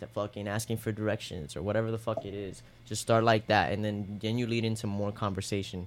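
Fairly low in pitch, a man with an ordinary speaking voice talks at a fairly quick pace in a very clean recording with a silent background. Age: 20s. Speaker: podcast co-host. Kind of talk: casual chat.

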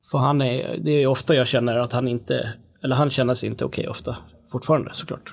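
Talking at a very fast pace, a man uses a medium pitch, fairly even intonation and vocal fry. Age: 40s. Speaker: musician. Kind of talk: casual chat.

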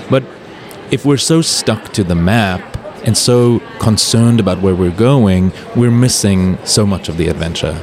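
Noticeable background noise sits behind a man who talks at a moderate pace with a fairly low pitch and ordinary pitch variation. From South Africa and Europe. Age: 30s. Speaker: travel writer. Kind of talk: casual chat. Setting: live podcast recording at a trade show. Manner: animated.

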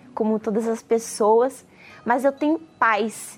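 Noticeable background noise sits behind a woman with a high voice. She speaks fairly slowly with ordinary pitch variation. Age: 30s. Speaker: nursing student. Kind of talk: testimony.

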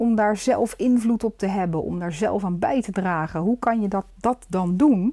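A woman with a dark, mellow tone speaks at a moderate pace with ordinary pitch variation. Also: medium pitch for a woman.

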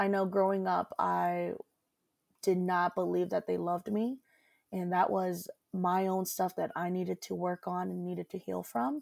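A woman talks at a moderate pace with an American accent. The sound is dry and close with no echo, on a very clean recording with a silent background. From Des Moines, Iowa, US Midwest. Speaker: nonprofit executive director. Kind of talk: interview.

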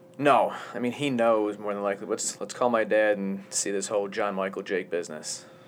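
Over noticeable background noise, a man talks at a fairly quick pace with a fairly low pitch and fairly even intonation. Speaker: podcast host. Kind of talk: casual banter podcast. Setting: studio. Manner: rambling, self-deprecating, joking.

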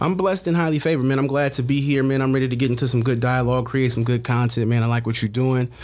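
A man with an American accent speaks at a very fast pace, with hardly any pauses and very even loudness. His medium-pitched voice keeps a fairly even intonation over noticeable background noise. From San Francisco, California. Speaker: media personality. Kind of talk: casual chat.

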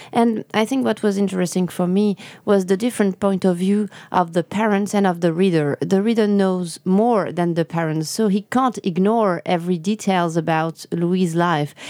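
In a French accent, a woman talks at a moderate pace with a dark, mellow tone and very even loudness. The recording is very clean and dry, close with no echo and a silent background. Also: medium pitch for a woman, ordinary pitch variation. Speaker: novelist. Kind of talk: interview. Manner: halting.

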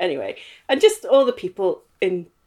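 A woman with a Northern Irish accent at a fairly slow pace, on a very clean recording with a silent background. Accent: Northern Irish (Belfast). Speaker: interviewee recounting life story. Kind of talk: casual interview chat. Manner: hesitant with fillers (um).

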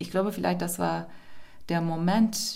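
With a Turkish accent, a woman speaks at a moderate pace amid audible room echo. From Turkey, Istanbul. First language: Turkish (speaking German). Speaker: poet. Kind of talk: interview.

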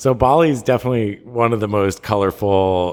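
Using a plain, everyday voice, a man speaks at a fairly quick pace with ordinary pitch variation. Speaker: podcast co-host. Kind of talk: casual chat. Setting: remote call. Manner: casual, filler-heavy.

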